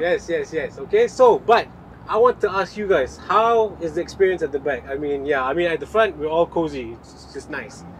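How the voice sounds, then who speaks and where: Speech moves at a moderate pace. Light background noise sits underneath. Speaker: car reviewer host. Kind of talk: casual vlog chat. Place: car. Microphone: camera far.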